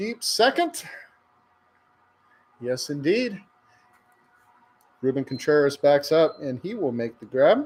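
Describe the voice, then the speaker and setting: Speaking at a fairly slow pace with long, frequent pauses, a man keeps his intonation lively. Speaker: baseball play-by-play announcer. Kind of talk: live commentary. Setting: livestream of a college baseball game.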